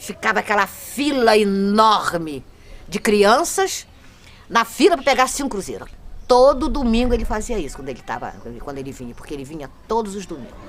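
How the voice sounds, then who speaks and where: Over noticeable background noise, a woman with a fairly high pitch speaks at a moderate pace, her pitch swinging very widely and her loudness shifting in big swings. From Brazil, Cabo Frio (RJ). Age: 60s. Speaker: longtime local resident. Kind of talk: documentary interview testimony. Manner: halting, with false starts.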